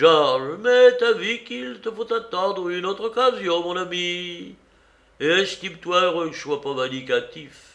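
A man uses a put-on character voice with a high pitch, a fairly bright tone and vocal fry. His intonation is lively and his pace fairly slow.

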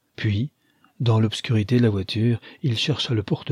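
The text is read in a plain reading-aloud manner with fairly even intonation. The background is quiet.

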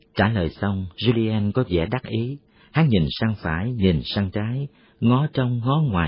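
A passage gets read aloud in a natural voice.

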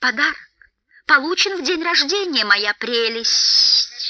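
A put-on character voice with a bright, sharp tone moves at a slow pace with lively intonation.

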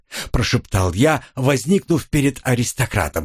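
Lively intonation in an unforced reading voice

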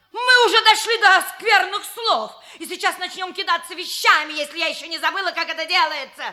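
A woman uses a put-on character voice at an extremely high pitch. Her tone is bright and sharp, and her pace fairly quick. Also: ordinary pitch variation.

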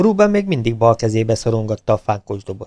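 The speaker is reading aloud in a natural voice. Nothing more stands out in the delivery.

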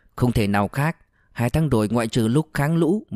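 The intonation is lively as this natural voice reads.

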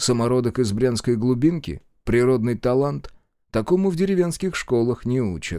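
Over quiet surroundings, lively intonation marks this plain reading aloud.

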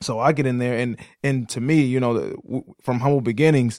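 Over a silent background in a very clean recording, a man speaks at a medium pitch with an American accent and fairly even intonation. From Detroit area, Michigan. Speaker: podcast co-host. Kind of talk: casual conversation. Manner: run-on speech with many repetitions and fillers.

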